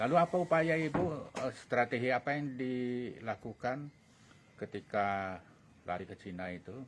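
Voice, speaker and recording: A man with a plain, everyday voice, medium pitch, lively intonation and a moderate pace. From Bali. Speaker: talk show host. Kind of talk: interview.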